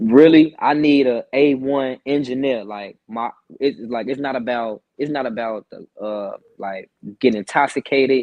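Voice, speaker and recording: A man speaks with fairly even intonation while his loudness swings widely. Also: medium pitch for a man. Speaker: rapper. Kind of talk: casual interview. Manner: fast.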